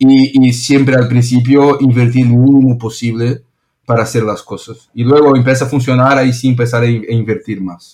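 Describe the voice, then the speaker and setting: A man with a Brazilian accent talks at a moderate pace in a medium pitch. His tone is dark and mellow, his intonation monotone and flat. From Brazil, São Paulo. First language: Portuguese (speaking Spanish). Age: 30s. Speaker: restaurant founder. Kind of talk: interview. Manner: halting, repeats words.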